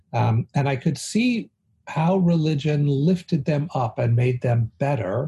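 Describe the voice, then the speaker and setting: A man with an American accent at medium pitch, with a dark, mellow tone, somewhat breathy, using lively intonation at a very slow pace, with a dry, close sound and no echo. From US West Coast, San Francisco. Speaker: rabbi and theology dean. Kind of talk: casual chat.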